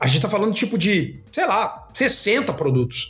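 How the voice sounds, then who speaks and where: A man's pitch swings very widely as he talks at a moderate pace against noticeable background noise. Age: 40s. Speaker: design professor and product head. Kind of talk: casual interview chat.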